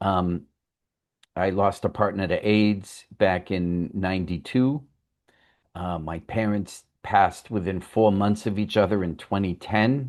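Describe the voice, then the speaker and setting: With a quiet background behind him, a man speaks fairly slowly. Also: ordinary pitch variation. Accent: Boston. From Boston, Massachusetts. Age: 60s. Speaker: writer. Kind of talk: interview. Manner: hesitant, many fillers.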